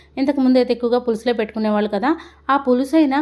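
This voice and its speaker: A woman speaks at a fairly high pitch in a dark, mellow tone. Her intonation stays fairly even. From Andhra Pradesh. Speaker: homemaker vlogger. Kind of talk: vlog voice-over.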